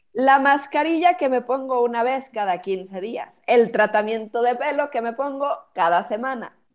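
A high-pitched woman talks fairly slowly, her intonation lively. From Mexico, Cuernavaca. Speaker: professional organizer. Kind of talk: interview conversation.

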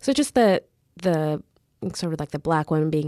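Recorded dry and close with no echo, a woman speaks with a very deep, low pitch. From Canada, Mississauga suburbs. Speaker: lawyer and writer. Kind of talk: interview.

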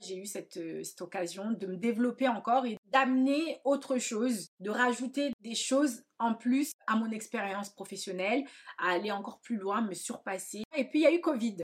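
In an ordinary speaking voice, a woman talks at a moderate pace with hardly any pauses, her fairly high pitch varying in an ordinary way. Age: 30s. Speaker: hairdresser and podcast host. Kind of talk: personal monologue. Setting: at home.

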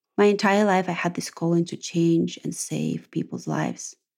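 A woman with a Russian accent. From Russia, Ural region. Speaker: podcast host. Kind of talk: monologue podcast.

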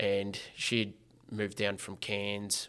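In an Australian accent, a man speaks at a very slow pace. His pitch is fairly low. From Geelong, Victoria, Australia. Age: 20s. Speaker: former prisoner and social entrepreneur. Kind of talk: personal testimony in interview.

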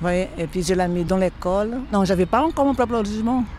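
A woman with a Brazilian accent, medium pitch and a fairly quick pace. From northeastern Brazil. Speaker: cleaner. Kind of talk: testimony. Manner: warm and cheerful.

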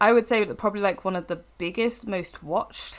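At a moderate pace, a woman speaks. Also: very clean recording, silent background. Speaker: pop culture writer and podcast co-host. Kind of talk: casual chat.

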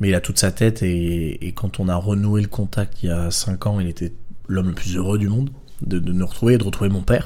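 A man talks at a fairly quick pace with a very deep, low pitch. His tone is dark and mellow, and his intonation fairly even. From southern France, Draguignan. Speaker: film director. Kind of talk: casual chat.

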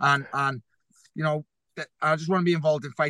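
A man with a Liverpool accent and a fairly high pitch, the sound dry and close with no echo, over a quiet background. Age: 30s. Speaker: professional boxer. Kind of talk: interview.

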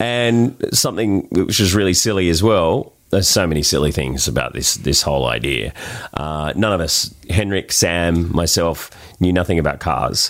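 A man with an Australian accent, a very deep, low pitch, lively intonation and very even loudness, over noticeable background noise. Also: moderate pace. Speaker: charity rally driver. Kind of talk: casual interview chat.

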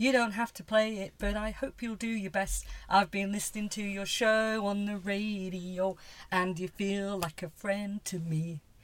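A plain, everyday voice from a woman at medium pitch, at a fairly slow pace. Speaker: podcast host. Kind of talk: casual chat.

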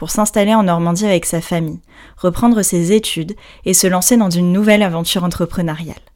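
At a very fast pace, a woman talks with medium pitch and fairly even intonation. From Brittany, France. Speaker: podcast host, yoga teacher. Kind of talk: scripted narration; casual chat.

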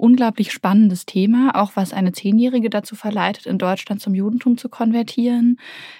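A somewhat breathy woman's voice, dark and mellow, dry and close with no echo, in a very clean recording over a silent background. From Berlin, Germany (Kreuzberg). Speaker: novelist. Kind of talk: interview. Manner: hesitant, many fillers.

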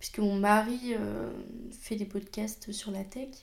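A woman with a normal speaking voice, fairly high pitch and fairly even intonation. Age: 20s. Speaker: podcast host and job integration counselor. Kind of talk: personal monologue.

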